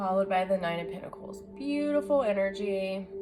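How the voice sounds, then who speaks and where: Music plays behind a woman talking at a moderate pace. Her intonation is lively. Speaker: tarot reader. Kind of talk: tarot reading to camera. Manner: loud; animated.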